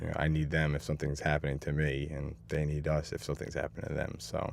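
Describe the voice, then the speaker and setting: Speaking with a New York accent, a man talks very fast in a very deep, low voice with vocal fry. His intonation is monotone and flat. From Hastings-on-Hudson, New York. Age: 30s. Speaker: police officer. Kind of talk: interview answer.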